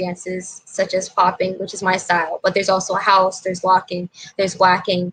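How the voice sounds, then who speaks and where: A woman speaks over noticeable background noise. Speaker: hip hop dancer. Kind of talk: interview.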